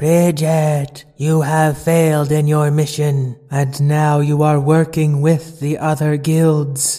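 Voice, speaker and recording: Putting on a booming character voice, a man speaks fairly high and fairly slowly in a flat monotone, with hardly any pauses. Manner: stern, authoritative.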